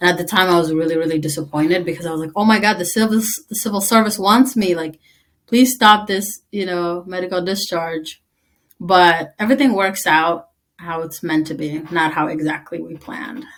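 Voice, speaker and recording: With an Eritrean accent, a woman talks at a moderate pace in a fairly low voice with ordinary pitch variation. Her loudness swings widely. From East Africa (Tigrinya-speaking), moved to US at 11. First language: Tigrinya. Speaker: army veteran. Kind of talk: interview.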